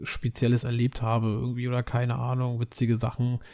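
A man with a dark, mellow tone speaks at a moderate pace and a medium pitch. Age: 30s. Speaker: podcaster. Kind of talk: casual monologue.

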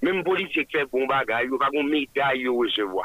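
There is noticeable background noise behind a man with a fairly high pitch. He speaks at a moderate pace with lively intonation. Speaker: engaged citizen. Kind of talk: radio interview.

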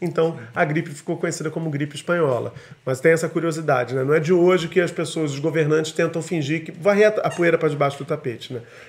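A man rushes along at a very fast pace with fairly even intonation. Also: fairly high pitch for a man. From Brazil. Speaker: podcast host. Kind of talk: casual chat. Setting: home studio, live video stream.

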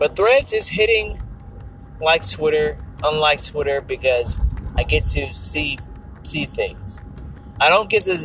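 A man speaks very slowly, leaving long, frequent pauses, amid noticeable background noise. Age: 50s. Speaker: podcast host. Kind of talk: casual monologue.

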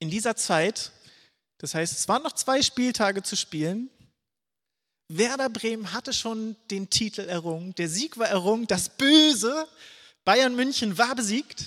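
A man's high-pitched voice with a bright, sharp tone and lively intonation, at a fairly slow pace with long, frequent pauses, on a very clean, silent-background recording with a dry, close sound and no echo. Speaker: preacher. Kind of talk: sermon. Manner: casual.

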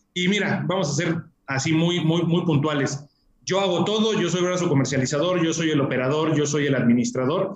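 Here is a man with an unremarkable speaking voice, fairly high in pitch. He talks at a fairly quick pace with ordinary pitch variation. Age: 30s. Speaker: real estate company executive. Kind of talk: interview.

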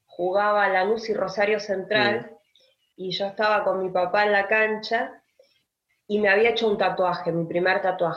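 With an unremarkable speaking voice, a woman talks at a medium pitch and a fairly slow pace, her intonation fairly even but her loudness swinging widely. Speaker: writer and teacher. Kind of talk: interview conversation.

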